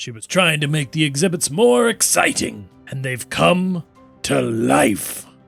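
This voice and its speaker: With faint music in the background, a man uses a put-on character voice, fairly high in pitch, at a fairly slow pace. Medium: actual play. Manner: excitable, theatrical.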